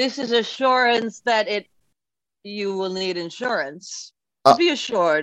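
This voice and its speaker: At a fairly slow pace with long, frequent pauses, a woman speaks in a fairly high pitch with lively intonation. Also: quiet background. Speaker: comedian guest. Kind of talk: pitchman patter, mock carnival-barker sales pitch.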